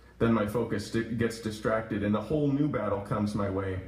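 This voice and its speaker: Against noticeable background noise, a man speaks at a fairly quick pace with ordinary pitch variation. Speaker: poet reading own work at open mic. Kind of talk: open mic poetry reading. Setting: coffee shop live audience.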